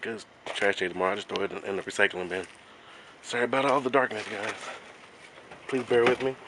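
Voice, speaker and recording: At a fairly quick pace, a man talks with medium pitch and fairly even intonation. Noticeable background noise is present. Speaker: vlogger. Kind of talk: casual vlog. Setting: outdoors at night.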